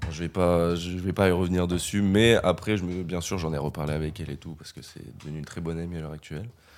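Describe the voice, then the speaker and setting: A man with a very deep, low voice talks at a very fast pace, his loudness swinging widely while his intonation stays fairly even, in a very clean recording with a silent background. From France, Limoges. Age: 20s. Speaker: student. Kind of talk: casual chat.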